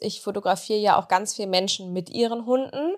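A woman's fairly high voice at a moderate pace, with ordinary pitch variation, on a very clean recording with a silent background. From East Westphalia, Germany (Bünde). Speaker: pet influencer. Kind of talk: casual interview. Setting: studio.

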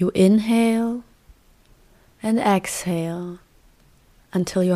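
The tone is calm and soothing. The pace is very slow. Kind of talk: guided meditation. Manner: slow, calm, soothing, with long pauses; gentle, soft-spoken.

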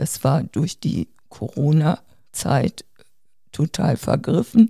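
Recorded dry and close with no echo, a woman is speaking. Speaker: seriously ill COPD patient, podcast co-host. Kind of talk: casual family conversation.

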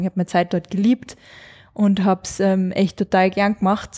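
A woman's dark, mellow voice at medium pitch and moderate pace, dry and close with no echo, on a very clean recording with a silent background. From Austria, Carinthia. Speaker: blogger and influencer, mother. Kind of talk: casual interview chat. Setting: office.

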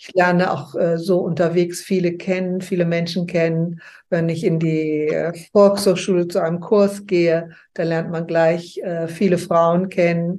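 This woman has a fairly low pitch and a dark, mellow tone. She talks at a fairly slow pace with monotone, flat intonation. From West Germany, early years near Leipzig. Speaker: interview guest sharing life story. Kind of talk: interview, personal life story. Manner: halting, with frequent fillers.

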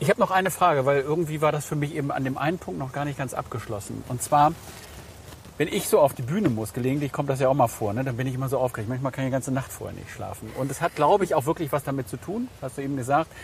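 A man's fairly high voice at a very fast pace, ordinary pitch variation, noticeable background noise. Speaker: podcast host, banker. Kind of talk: casual interview. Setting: outdoors, walking in a city park.

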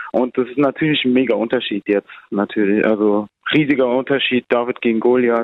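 Using a plain, everyday voice, a man talks at a fairly quick pace with a medium pitch and fairly even intonation. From Germany. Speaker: amateur footballer, national team player. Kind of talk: interview.

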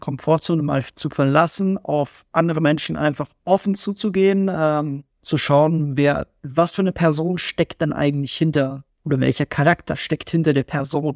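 With hardly any pauses, a man talks in a normal speaking voice at a fairly high pitch with ordinary pitch variation. The sound is dry and close with no echo. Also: quiet background. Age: 20s. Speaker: guest musician and IT contract manager. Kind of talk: casual interview.

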